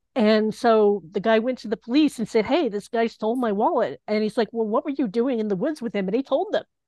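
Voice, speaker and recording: An ordinary speaking voice with an American accent moves at a fairly quick pace with hardly any pauses. Pitch variation is ordinary. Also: woman, fairly high pitch for a woman. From US South, Knoxville, Tennessee. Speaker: LGBTQ activist and volunteer genealogy searcher. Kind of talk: interview storytelling.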